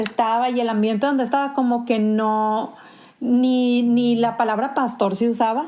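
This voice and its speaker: A woman with a Sonoran accent speaks at a fairly slow pace in a high pitch with a dark, mellow tone. The room echo is audible. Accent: Sonoran Mexican Spanish. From Sonora, Mexico. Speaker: pastor. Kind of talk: podcast interview. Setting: remote call from home.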